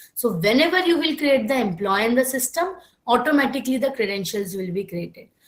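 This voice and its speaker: A speaker with an Indian accent makes very wide pitch swings, with audible room echo. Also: woman, high pitch for a woman. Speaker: software trainer. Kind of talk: online class lecture. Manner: slow-paced.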